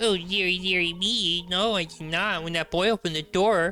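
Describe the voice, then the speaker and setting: Moderately paced, a put-on character voice from a man, pitched high. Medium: game stream. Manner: prim, lecturing.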